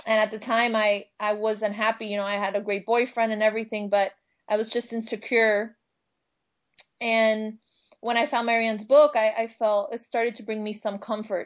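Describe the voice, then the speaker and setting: Speaking at a moderate pace with a fairly high pitch, a woman with a Miami Cuban accent keeps a monotone, flat intonation. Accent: Cuban American, Miami. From Miami, US. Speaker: minister and spiritual teacher. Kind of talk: casual interview chat. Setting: phone or video call.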